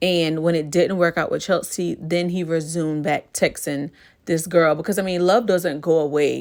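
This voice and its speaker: A woman's fairly low, unremarkable speaking voice, fairly even in intonation and moderate in pace, on a very clean recording with a silent background. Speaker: YouTuber, TV show commentator. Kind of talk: casual vlog commentary. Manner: relaxed, chatty.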